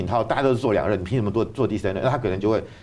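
Ordinary pitch variation marks this man's speech. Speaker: university professor and political commentator. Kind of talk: political talk show discussion. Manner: hesitant, with frequent fillers.

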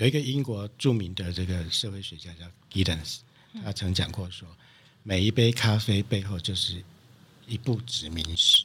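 A man's fairly low-pitched voice with a bright, sharp tone, big swings in loudness, and long, frequent pauses. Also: ordinary pitch variation, moderate pace. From Taiwan, Taichung. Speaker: coffee producer and importer. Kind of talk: interview. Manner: halting, many fillers.

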